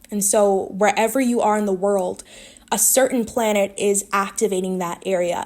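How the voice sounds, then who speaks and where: At a moderate pace, a woman speaks at a medium pitch with monotone, flat intonation. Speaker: astrology content creator. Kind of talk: explainer monologue. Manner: casual with fillers; stumbling at times.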